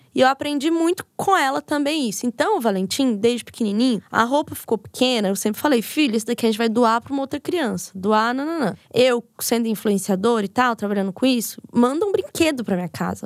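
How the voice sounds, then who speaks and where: A woman speaks at a high pitch and a fairly quick pace, with hardly any pauses and lively intonation. The sound is dry and close, with no echo. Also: very clean recording, silent background. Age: 30s. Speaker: podcaster and psychology student. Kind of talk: casual chat.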